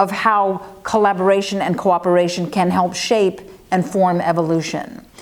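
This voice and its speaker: A woman speaks with an American accent at a medium pitch. Noticeable background noise can be heard. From United States. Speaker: forest ecologist. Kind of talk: interview answers. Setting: interview in Barcelona. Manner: fast.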